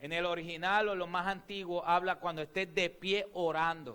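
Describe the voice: At a moderate pace, a man speaks in a high pitch with a fairly bright, clear, smooth tone and ordinary pitch variation.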